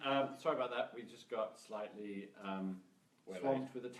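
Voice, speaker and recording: A man speaks in a British accent. There is noticeable background noise. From UK. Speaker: sales trainer. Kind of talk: casual live stream talk.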